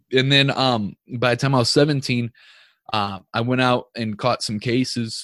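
This man has a plain, everyday voice, medium in pitch, with an American accent, fairly even intonation and a fairly slow pace. The recording is very clean with a silent background and a dry, close sound with no echo. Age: 30s. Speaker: entrepreneur, podcaster, former prisoner. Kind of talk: interview podcast. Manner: casual, filler-heavy.

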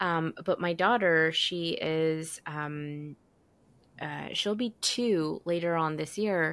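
On a very clean recording with a silent background, a woman speaks at a very slow pace with ordinary pitch variation. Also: fairly low pitch for a woman. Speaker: podcast host. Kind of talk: interview conversation, scripted intro.

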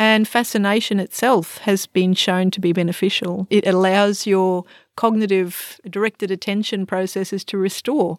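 Hardly pausing, a woman speaks at a moderate pace in a flat monotone, the sound dry and close with no echo. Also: medium pitch for a woman, very clean recording, silent background. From Australia. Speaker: psychology lecturer and forest therapy guide. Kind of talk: expert interview.

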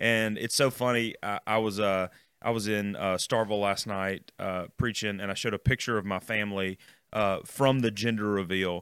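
Recorded very cleanly against a silent background, a man with a Southern US accent speaks at a moderate pace in a fairly low pitch with monotone, flat intonation. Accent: Southern American. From US South, Mississippi (Jackson area). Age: 30s. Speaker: student ministry pastor. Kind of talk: casual chat.

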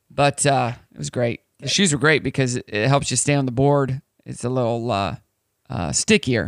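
At a moderate pace, a man with an American accent talks at medium pitch with ordinary pitch variation, the sound dry and close with no echo. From United States. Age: 30s. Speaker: morning radio host. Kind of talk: casual chat. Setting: studio. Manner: animated.

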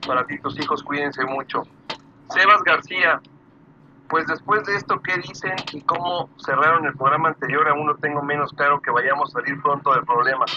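A man speaks at a fairly high pitch and a moderate pace. Pitch varies in an ordinary way, and background noise is noticeable. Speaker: online radio host. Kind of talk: live talk show.

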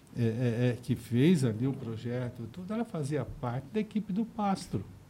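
Over noticeable background noise, a man speaks slowly-ish at a medium pitch, his voice making very wide pitch swings at a fairly slow pace. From Osasco, São Paulo. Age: 60s. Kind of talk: casual interview chat.

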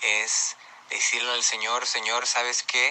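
A man talks at a fairly slow pace. Noticeable background noise runs beneath him. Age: 20s. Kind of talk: testimony. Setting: pre-recorded audio message.

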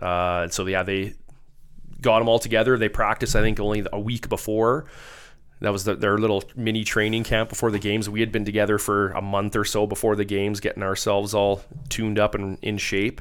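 A man with a western Canadian accent, fairly low in pitch, monotone and flat at a fairly quick pace, on a very clean recording with a silent background. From Alberta, Spruce Grove near Edmonton. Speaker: former hockey player, firefighter. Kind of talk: casual chat.

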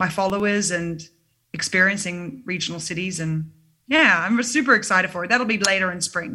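A woman with an Australian accent, medium pitch, ordinary pitch variation and a fairly quick pace. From Sydney, Australia. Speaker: singer-songwriter. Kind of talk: casual interview. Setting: video call.

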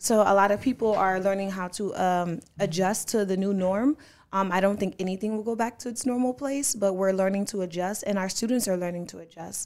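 A woman with an ordinary speaking voice talks at a medium pitch and a fairly quick pace with hardly any pauses and ordinary pitch variation, in a very clean recording with a silent background. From Bridgeport, Connecticut. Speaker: nonprofit founder and school board member. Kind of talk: casual interview.

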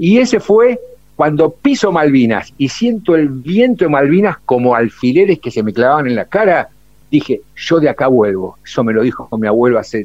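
The speaker keeps a moderate pace while the pitch swings very widely. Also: man, fairly high pitch for a man. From Buenos Aires, Argentina. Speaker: war veteran. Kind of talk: testimony. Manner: animated.

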